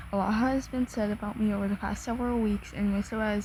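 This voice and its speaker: Over noticeable background noise, a woman talks at a very fast pace. Her intonation is monotone and flat. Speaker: content creator reacting to a statement. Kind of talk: reading aloud. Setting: at home, in own room. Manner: soft-spoken; halting.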